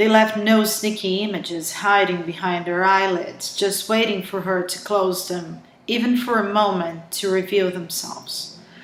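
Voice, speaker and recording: A woman with a medium pitch talks with hardly any pauses against noticeable background noise. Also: fairly even intonation, moderate pace. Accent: strong Brazilian. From Brazil. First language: Portuguese. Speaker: author. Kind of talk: reading aloud. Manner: halting, with self-corrections.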